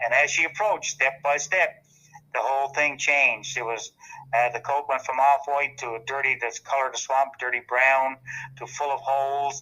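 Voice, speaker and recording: Speaking in a Newfoundland accent, a man keeps a moderate pace and fairly even intonation at a fairly high pitch. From Newfoundland, Canada (Bell Island). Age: 70s. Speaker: local historian and tourism official. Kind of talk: storytelling interview.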